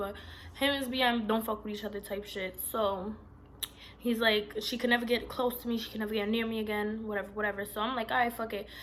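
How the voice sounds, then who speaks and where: A woman talks at a very fast pace in an animated tone. Noticeable background noise is present. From Puerto Rican heritage, US Northeast. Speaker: vlogger. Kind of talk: storytime vlog. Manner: loud.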